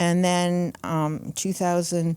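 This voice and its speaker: In a very clean recording with a silent background, a woman speaks at a fairly low pitch. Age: 70s. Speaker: author. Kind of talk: interview storytelling.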